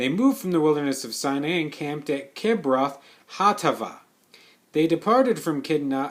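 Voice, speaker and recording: This man has a normal speaking voice. His fairly high pitch moves with lively intonation. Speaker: Bible reader. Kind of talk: reading aloud.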